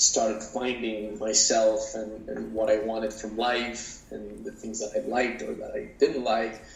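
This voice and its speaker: Over noticeable background noise and audible room echo, a man speaks at a fairly slow pace. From Mexico City. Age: 30s. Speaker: actor and producer. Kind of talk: interview. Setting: podcast. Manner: halting, with many fillers and repeats.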